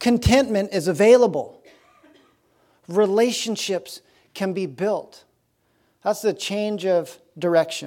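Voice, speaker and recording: A man with a high pitch and a dark, mellow tone speaks very slowly with long, frequent pauses and ordinary pitch variation. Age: 40s. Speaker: pastor. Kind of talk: sermon.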